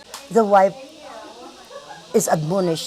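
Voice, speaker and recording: With noticeable background noise behind her, a woman speaks at a medium pitch. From Philippines. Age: 60s. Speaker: interviewee, retired teacher. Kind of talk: interview.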